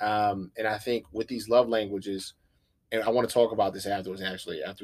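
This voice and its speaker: Over a very clean recording with a silent background, a man talks at a fairly quick pace in a fairly low, monotone, flat voice. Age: 20s. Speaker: podcast guest discussing psychology. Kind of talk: casual chat.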